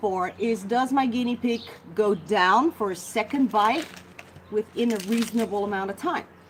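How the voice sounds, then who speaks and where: A woman with a Dutch accent speaks at a moderate pace in an animated tone. Her pitch sits fairly high, with noticeable background noise behind her. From Netherlands. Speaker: guinea pig rescuer and care expert. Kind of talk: live Q&A stream.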